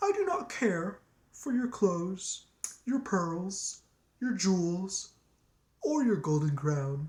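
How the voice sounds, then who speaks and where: At a very slow pace with long, frequent pauses, the speaker uses a put-on character voice at a middle pitch. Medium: read story.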